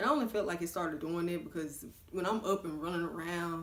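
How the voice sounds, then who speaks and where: A woman's fairly low voice in a Southern US accent, very fast, with ordinary pitch variation. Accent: Southern American. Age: 20s. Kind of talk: casual talk to camera. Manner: chatty.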